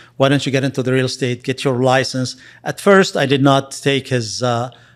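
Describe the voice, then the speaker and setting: A man talks with a Lebanese accent at a fairly quick pace. His intonation stays fairly even. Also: medium pitch for a man. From Lebanon. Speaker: real estate investor and agent. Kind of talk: interview. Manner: halting.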